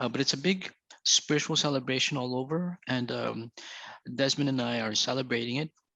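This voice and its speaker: A man's bright, sharp voice at medium pitch, fairly quick, dry and close with no echo, over a quiet background. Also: ordinary pitch variation. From Philippines. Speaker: poet and anthology editor. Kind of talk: book launch talk. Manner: halting, many fillers.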